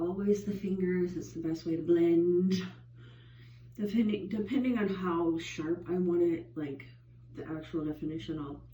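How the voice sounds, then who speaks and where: A woman speaks at a moderate pace in a fairly low pitch, somewhat breathy, with ordinary pitch variation. Audible room echo surrounds her voice. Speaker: beauty vlogger. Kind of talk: makeup tutorial. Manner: casual, filler-heavy.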